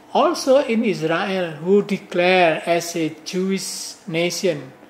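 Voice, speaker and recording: Against noticeable background noise, a man with a high pitch talks at a very slow pace with ordinary pitch variation. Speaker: professor. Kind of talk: lecture. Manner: halting.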